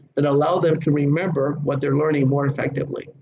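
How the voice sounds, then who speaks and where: Noticeable background noise fills the clip. Over it, a man talks fairly quickly. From Puerto Rico. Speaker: safety trainer. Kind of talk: lecture. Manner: fast.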